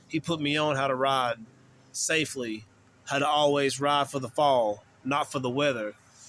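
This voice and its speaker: A man talks with a Southern US accent. His pitch is fairly high and his intonation fairly even. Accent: Southern US country. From US South, western North Carolina. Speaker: YouTuber telling personal stories. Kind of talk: casual storytelling.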